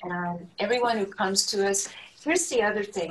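Noticeable background noise accompanies a woman with an American accent, medium pitch and ordinary pitch variation. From New Hampshire, US. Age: 70s. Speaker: community leader and former mayor. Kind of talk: interview.

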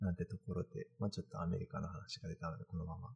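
A somewhat breathy man with a very deep, low pitch. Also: dry, close sound with no echo. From Kanagawa, Japan. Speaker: postdoctoral researcher and live-stream host. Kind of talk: casual live-stream talk. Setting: live stream in virtual space.

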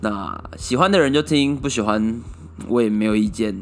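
Music plays in the background as a man speaks at a fairly slow pace. His intonation is lively. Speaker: solo podcast host. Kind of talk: casual monologue. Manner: many filler words.

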